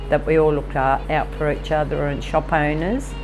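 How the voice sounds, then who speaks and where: At a fairly slow pace, a woman with an Australian accent speaks over noticeable background noise. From Tamworth, New South Wales, Australia. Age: 60s. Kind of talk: interview answer.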